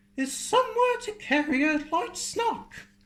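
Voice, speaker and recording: An extremely high, squeaky put-on character voice swings very widely in pitch at a fairly slow pace. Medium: read story. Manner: brisk, self-assured.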